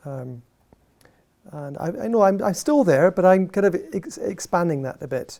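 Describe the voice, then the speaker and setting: A man with an Edinburgh accent speaks at a fairly quick pace in a dark, mellow tone. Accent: Scottish (Edinburgh). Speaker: professor. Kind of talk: lecture. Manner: animated, passionate; halting, many fillers and restarts.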